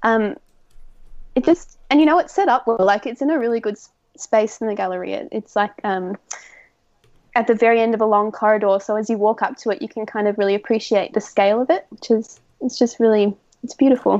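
Speaking fairly quickly with an Australian accent, a woman has fairly high pitch and ordinary pitch variation. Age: 20s; young. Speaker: art student. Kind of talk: casual interview.

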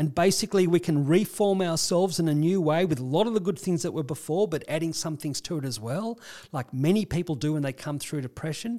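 A man with an Australian accent speaks at a very fast pace with hardly any pauses, in a dark, mellow tone. The recording is very clean, with a silent background. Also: ordinary pitch variation. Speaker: clinical psychologist. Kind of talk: casual conversational explanation.

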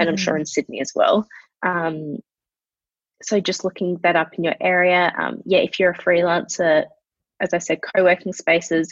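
A speaker with an Australian accent uses fairly even intonation, heard in a dry, close sound with no echo. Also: woman. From Adelaide, Australia. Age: 20s. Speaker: marketing specialist and founder. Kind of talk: casual chat.

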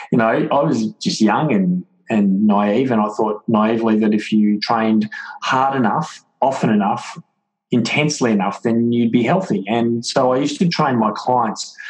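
This man speaks at a moderate pace with a medium pitch and ordinary pitch variation. His loudness is very even. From Melbourne, Australia. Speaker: author and wellness speaker, former footballer. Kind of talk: interview, conversational. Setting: remote call.

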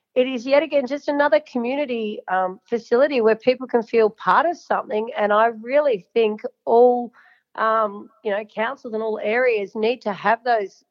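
With an Australian accent, a woman speaks at a moderate pace in a fairly high pitch with ordinary pitch variation. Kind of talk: casual interview chat. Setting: phone call. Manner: chatty, talkative.

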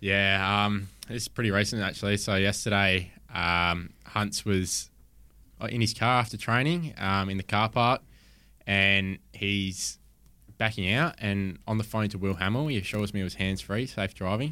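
A bright, sharp voice in an Australian accent, moderate in pace with ordinary pitch variation, in a very clean recording over a silent background. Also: man, fairly low pitch for a man. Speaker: footballer. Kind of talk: casual chat.

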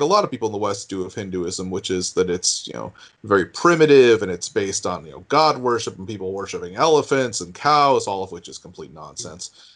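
In an American accent, the speaker talks very fast with hardly any pauses, lively intonation and big swings in loudness, over a quiet background. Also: man. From US New England. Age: 40s. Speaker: news digest writer. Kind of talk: interview.

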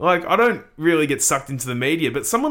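Bright, sharp tone from a man with an Australian accent, in a very clean recording with a silent background. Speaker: podcast co-host. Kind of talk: casual sports podcast analysis.

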